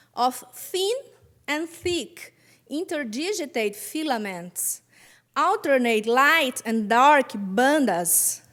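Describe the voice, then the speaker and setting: A woman with a Brazilian Portuguese accent talks at a very slow pace. Her high voice swings very widely in pitch. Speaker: physician researcher. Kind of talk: conference talk.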